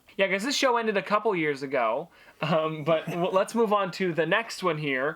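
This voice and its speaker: Over music in the background, a man talks at a moderate pace in a high pitch with lively intonation. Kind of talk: casual talk to camera.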